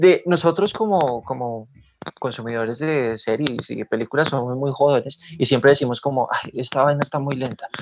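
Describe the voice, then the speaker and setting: This man has an unremarkable speaking voice, fairly high in pitch, moving at a moderate pace with ordinary pitch variation. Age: 20s. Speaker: podcast co-host. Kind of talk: casual chat.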